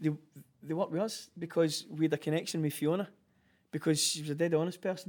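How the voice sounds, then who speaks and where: A man with a Glaswegian accent, fairly high-pitched, talking at a very fast pace broken by long, frequent pauses. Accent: Glaswegian Scottish. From Glasgow, Scotland. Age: 40s. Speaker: clothing brand founder. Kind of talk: casual interview chat. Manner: animated.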